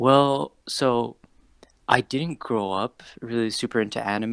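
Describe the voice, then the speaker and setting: An unremarkable speaking voice, a man's at a medium pitch with an American accent, carries lively intonation in a very clean recording with a silent background and a dry, close sound with no echo. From Saudi Arabia. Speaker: cosplayer. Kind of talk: interview. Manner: casual, filler-heavy.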